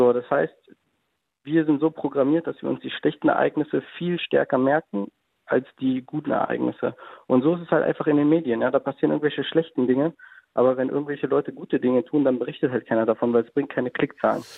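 Delivered at a very fast pace, the speech keeps fairly even intonation. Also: man, fairly high pitch for a man. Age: 20s. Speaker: caller, self-employed. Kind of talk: phone-in conversation.

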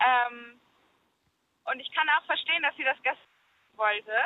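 A woman's pitch varies in an ordinary way. She talks high in pitch. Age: 20s. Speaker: caller. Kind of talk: casual phone-in chat. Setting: phone call.

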